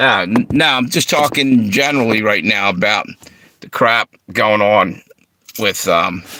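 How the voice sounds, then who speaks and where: With an American accent and a bright, sharp tone, a man speaks at a fairly slow pace with vocal fry and lively intonation. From Philadelphia and Delaware. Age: 60s. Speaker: livestream host. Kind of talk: casual livestream talk.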